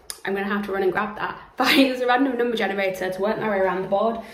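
Female speech with audible room echo and ordinary pitch variation. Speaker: book vlogger. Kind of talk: casual vlog chat. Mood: cheerful, chatty. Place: home room. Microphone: phone near.

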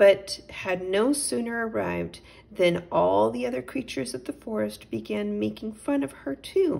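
The text is read aloud. The delivery sounds natural.

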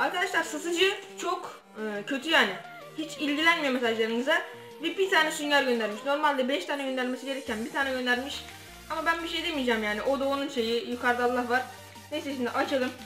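Someone talks at a very fast pace, with audible room echo and clear music in the background. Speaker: product reviewer. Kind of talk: casual unboxing vlog chat. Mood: mildly disappointed. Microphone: phone near.

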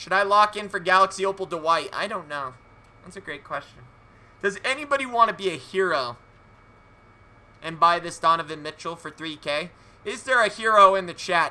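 A man speaks in a raised, projected voice that is high-pitched with a bright, sharp tone and lively intonation. At a moderate pace, he leaves long, frequent pauses, and his loudness swings widely. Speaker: video game streamer. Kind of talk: live gaming stream commentary. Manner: animated. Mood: playful, mock-theatrical. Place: home room.

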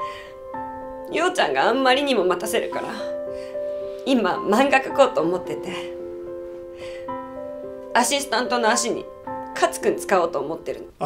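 With clear music in the background, a woman talks at a fairly slow pace, her loudness swinging widely. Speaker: actress in a drama scene. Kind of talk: scripted dramatic dialogue, emotional confession. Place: home room.

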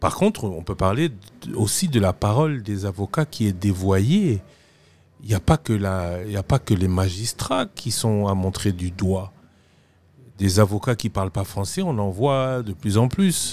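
At a fairly slow pace, a man with a normal speaking voice talks in a fairly low pitch. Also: ordinary pitch variation. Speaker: TV magazine host. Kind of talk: interview. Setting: studio.

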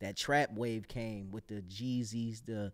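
Against a quiet background, a man with an American accent talks at medium pitch with fairly even intonation. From Buffalo, New York; New York. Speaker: rapper and actor; actor. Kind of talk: casual interview chat. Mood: candid, reflective. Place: studio. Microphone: studio mic.

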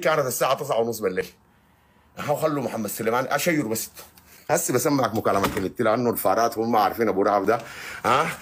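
A man speaks with a Sudanese accent. His tone is animated. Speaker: online activist. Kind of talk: live stream monologue. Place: home room. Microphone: phone near.

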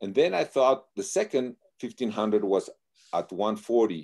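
A man's dark, mellow tone carries ordinary pitch variation over a quiet background. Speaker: guest. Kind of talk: interview answer. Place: home room. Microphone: video call.

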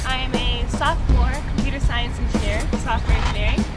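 Loud music plays in the background as a woman talks at a very fast pace. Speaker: college student. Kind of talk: testimonial interview answer. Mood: cheerful, enthusiastic. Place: street.

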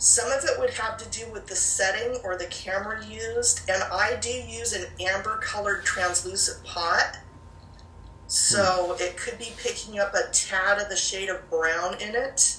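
In a room with audible echo and light background noise, a woman speaks at a fairly slow pace. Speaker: paranormal researcher. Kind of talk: interview answer. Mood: calm, reflective. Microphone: video call.

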